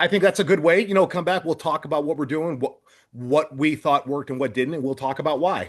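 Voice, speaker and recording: Speaking very fast with an American accent, a man uses a fairly high pitch and ordinary pitch variation against a quiet background. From United States. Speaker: retired strongman and podcast host. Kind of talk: casual chat.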